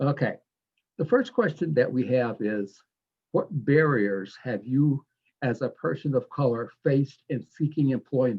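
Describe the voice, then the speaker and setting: Somewhat breathy speech moves at a fairly slow pace with ordinary pitch variation. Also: man, fairly high pitch for a man. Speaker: panel moderator. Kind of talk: panel discussion moderation. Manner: halting, repeats words.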